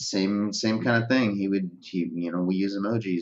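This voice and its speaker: Against a quiet background, a man with a plain, everyday voice speaks at a moderate pace, his pitch fairly low and his intonation fairly even. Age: 30s. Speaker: social media marketing expert. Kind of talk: casual interview chat. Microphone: video call.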